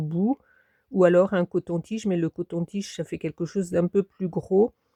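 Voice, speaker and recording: There is a quiet background, and the sound is dry and close with no echo. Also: woman. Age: 60s. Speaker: craft hobbyist YouTuber. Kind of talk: tutorial. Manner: hesitant, many fillers.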